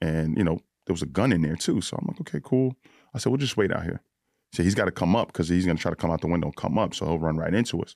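In a New York accent, a man with a very deep, low pitch talks very fast with lively intonation on a very clean recording with a silent background. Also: dry, close sound with no echo. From New York (Bronx, then Yonkers). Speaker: police SWAT officer. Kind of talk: casual chat. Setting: studio.

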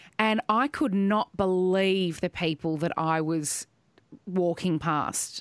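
Speaking at a very slow pace, a woman with an Australian accent uses ordinary pitch variation. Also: medium pitch for a woman, very even loudness, dry, close sound with no echo. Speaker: podcast host. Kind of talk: casual chat.

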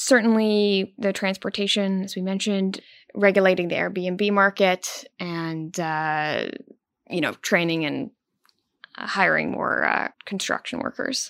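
On a very clean recording with a silent background, a woman with a normal speaking voice speaks at a medium pitch and a fairly slow pace, with ordinary pitch variation. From Prince Edward Island, Canada. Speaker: newspaper reporter. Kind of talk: interview.

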